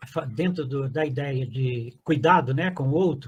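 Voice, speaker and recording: A man's somewhat breathy voice sits fairly high in pitch, with ordinary pitch variation. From Brazil, Zona da Mata of Minas Gerais (Guiricema). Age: 80s+. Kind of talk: testimony. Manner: halting, many fillers and restarts.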